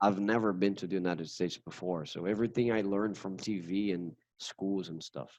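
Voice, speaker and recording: With a Brazilian Portuguese accent, a man talks at a fairly quick pace in a fairly low pitch. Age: 30s. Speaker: English teacher. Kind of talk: casual interview chat. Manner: halting, repeats words.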